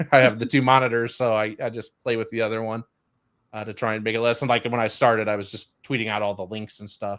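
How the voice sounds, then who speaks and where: A man with a Chicago accent talks very fast in a flat monotone, recorded very cleanly against a silent background. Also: medium pitch for a man. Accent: Chicago Midwestern. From Chicago, US Midwest. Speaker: podcast host. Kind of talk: casual chat.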